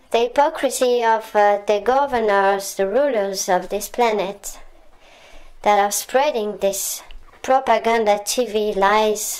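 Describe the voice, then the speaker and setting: Very slowly and with long, frequent pauses, a woman with a French accent speaks at a fairly high pitch, with very even loudness and fairly even intonation. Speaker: political commentator. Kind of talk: monologue rant. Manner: hesitant with frequent fillers.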